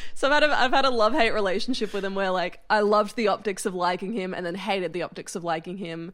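The speaker is a woman with a medium pitch. She talks at a very fast pace. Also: ordinary pitch variation, hardly any pauses, very clean recording, silent background. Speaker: comedian. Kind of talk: casual chat.

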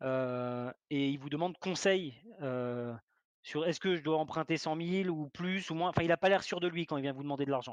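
A man speaks at a moderate pace in an ordinary speaking voice, fairly high in pitch, with ordinary pitch variation. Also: dry, close sound with no echo. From Alsace, France. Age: 30s. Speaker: property investor. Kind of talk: interview.

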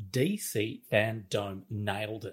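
With an Australian accent, a man talks in a somewhat breathy voice on a very clean recording with a silent background. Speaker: co-host. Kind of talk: casual chat.

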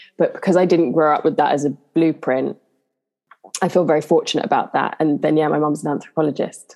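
A woman with a London accent, very deep and low in pitch, fairly even in intonation, very even in loudness, at a very fast pace. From southeast London, England. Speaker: actress. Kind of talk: casual interview chat.

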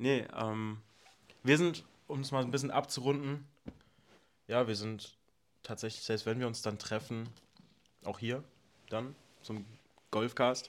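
A man speaks at a medium pitch and a fairly slow pace, his intonation fairly even. Long pauses come often. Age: 20s. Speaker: podcast co-host. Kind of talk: casual chat.

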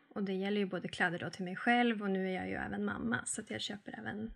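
Woman speaking with fairly even intonation. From northern Sweden, Arvidsjaur. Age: 30s. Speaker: sustainability and frugal-living influencer. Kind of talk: podcast interview.

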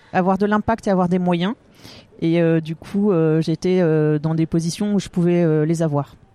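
Dry and close with no echo, a woman speaks at a medium pitch and a fairly slow pace. Her tone is dark and mellow, with ordinary pitch variation. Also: quiet background. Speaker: business executive. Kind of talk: interview. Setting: hotel lobby in Paris.

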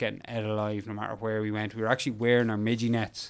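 A man speaks with an Irish accent in a monotone, flat intonation. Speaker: endurance mountain biker. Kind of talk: interview storytelling.

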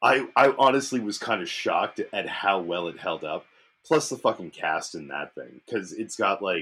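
A man speaks at a moderate pace in a bright, sharp tone. His pitch swings very widely and his loudness swings a lot. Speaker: beer review podcast host. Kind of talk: casual chat.

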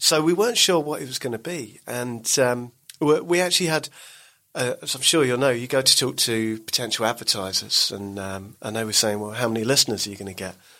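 A man with an English accent at a medium pitch, fairly quick pace and lively intonation. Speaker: podcast network boss. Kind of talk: casual interview chat.

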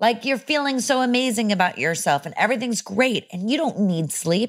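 A woman speaks with very wide pitch swings, recorded very cleanly against a silent background. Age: 30s. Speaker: actor and mental health advocate. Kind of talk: casual chat.

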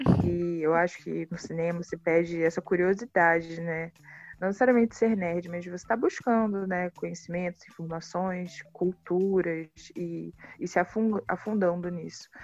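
In a normal speaking voice, a woman talks at a fairly low pitch with fairly even intonation and big swings in loudness. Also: moderate pace. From Rio de Janeiro, Baixada Fluminense. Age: 20s. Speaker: filmmaker. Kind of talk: interview.

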